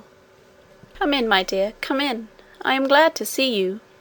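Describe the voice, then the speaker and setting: Using a put-on character voice, a woman speaks shakily at a fairly slow pace, high in pitch and lively in intonation. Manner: sweet, welcoming.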